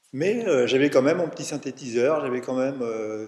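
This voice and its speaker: A man talks at a fairly slow pace with a medium pitch and ordinary pitch variation. Noticeable background noise can be heard. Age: 70s. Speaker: retired musician and music teacher, long-time meditation practitioner. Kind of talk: casual interview. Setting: recorded on location at a retreat centre in France. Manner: halting, with frequent repetitions and fillers.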